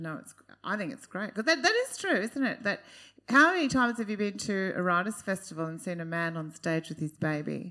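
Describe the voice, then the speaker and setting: A woman with an Australian accent speaks at a fairly quick pace and medium pitch in a bright, sharp tone. Her intonation is lively, with big swings in loudness. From Queensland, Australia. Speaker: panel moderator. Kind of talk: live panel discussion. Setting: stage with audience.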